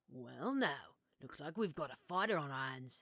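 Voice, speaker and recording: Putting on a raspy, gruff character voice with a very deep, low pitch, a woman speaks at a moderate pace with lively intonation and big swings in loudness. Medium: read story. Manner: wry, sarcastic.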